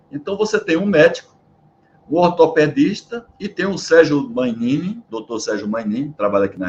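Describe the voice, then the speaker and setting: This man's voice sits at a fairly high pitch. It swings very widely in pitch. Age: 60s. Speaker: maintenance consultant and interviewer. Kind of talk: interview. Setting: at home.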